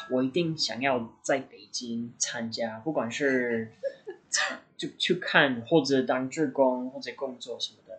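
A man is speaking. His pace is very slow. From US Midwest (Indiana). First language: English (speaking Chinese). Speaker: medical student. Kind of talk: casual chat.

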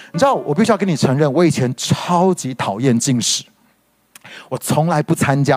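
A man speaks with lively intonation. There is music in the background. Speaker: pastor. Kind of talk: sermon-style podcast teaching. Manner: emphatic, repeats key points.

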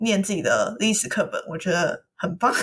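Fairly quick speech from a woman, medium in pitch, its pitch movement ordinary. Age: 20s. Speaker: podcast co-host. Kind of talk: casual chat. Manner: animated.

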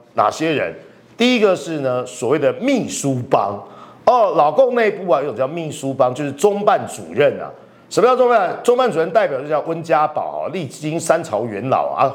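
A man with a fairly high pitch talks at a moderate pace in an animated tone, with very wide pitch swings. Noticeable background noise can be heard. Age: 50s. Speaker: political commentator. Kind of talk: political analysis talk show.

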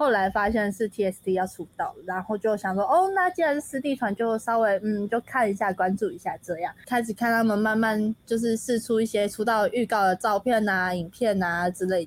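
This is an unremarkable speaking voice at a moderate pace, with ordinary pitch variation and hardly any pauses. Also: woman, fairly high pitch for a woman. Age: 20s. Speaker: college student and dancer. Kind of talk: casual chat.

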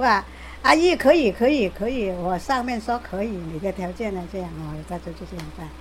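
A woman's voice rises and falls sharply in loudness. Noticeable background noise sits behind her. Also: moderate pace. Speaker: care recipient. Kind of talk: interview.

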